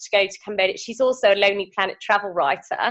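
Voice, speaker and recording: In a British accent, a woman speaks with a fairly high pitch and ordinary pitch variation. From United Kingdom. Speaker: veterinarian. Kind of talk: interview answer. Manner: hesitant, casual.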